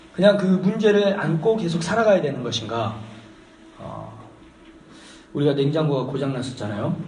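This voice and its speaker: A man at a high pitch with lively intonation, moderate pace and audible room echo. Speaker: pastor. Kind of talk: sermon. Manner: conversational, hesitant fillers.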